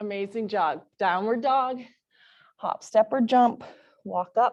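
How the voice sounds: A woman talks slowly in a fairly high pitch. Her tone is slightly mellow. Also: ordinary pitch variation.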